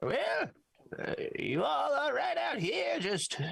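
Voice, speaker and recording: Here is a put-on character voice. It goes at a very slow pace. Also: man, high pitch for a man. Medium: actual play. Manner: falsely sweet, terse.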